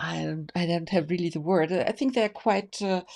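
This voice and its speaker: A woman's medium-pitched voice in a German accent, dark and mellow in tone with fairly even intonation, on a very clean recording with a silent background. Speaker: tarot association host. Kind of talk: interview. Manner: halting.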